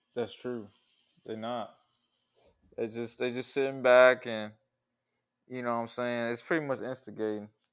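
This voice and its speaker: On a very clean recording with a silent background, a man at a medium pitch speaks in a monotone, flat intonation at a moderate pace with long, frequent pauses. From US Midwest. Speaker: podcast co-host. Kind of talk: casual chat.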